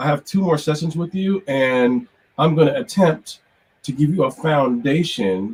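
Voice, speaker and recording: A man speaks at a fairly slow pace in a somewhat breathy voice with lively intonation. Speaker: music production professor. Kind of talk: online lecture.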